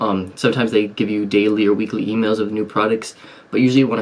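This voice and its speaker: Soft-spoken and fairly low in pitch, a man talks at a very fast pace. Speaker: online seller and business YouTuber. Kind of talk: tutorial. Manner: soft-spoken, talking low to stay quiet; casual with many fillers.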